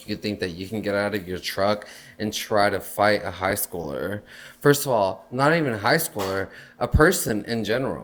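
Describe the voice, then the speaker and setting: A man talks at a moderate pace with a Spanish accent. His pitch sits fairly low. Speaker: podcast co-host. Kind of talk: casual chat. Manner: animated.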